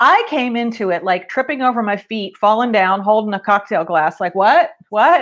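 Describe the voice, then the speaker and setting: A woman with an unremarkable speaking voice talks at a fairly high pitch and a moderate pace. Her intonation is lively, with hardly any pauses. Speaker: entrepreneur and fitness enthusiast. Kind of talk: casual interview chat.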